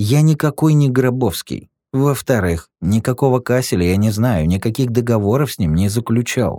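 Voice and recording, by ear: Lively intonation in natural-voiced reading aloud, the background quiet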